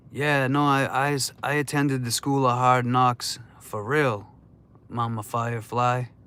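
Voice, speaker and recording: A man speaks at a fairly slow pace in a bright, sharp tone, his intonation flat and monotone, on a very clean recording with a silent background. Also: medium pitch for a man. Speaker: livestream host. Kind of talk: casual livestream chat. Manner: slow, deliberate.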